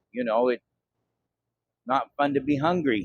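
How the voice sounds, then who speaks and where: The recording is dry and close with no echo as a man speaks at a moderate pace with a fairly high pitch and fairly even intonation. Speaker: vlogger. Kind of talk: casual talk to camera.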